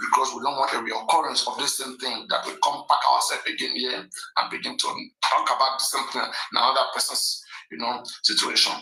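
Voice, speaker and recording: At a fairly quick pace, a man talks with a Nigerian accent. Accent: Nigerian (Yoruba) English. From Nigeria (Yoruba). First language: Yoruba. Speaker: live stream host. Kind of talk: live stream commentary. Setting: live stream. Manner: animated.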